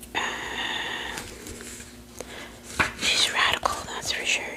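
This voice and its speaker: Whispering comes at a very slow pace against noticeable background noise. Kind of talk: ASMR talk. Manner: whispered; casual, rambling.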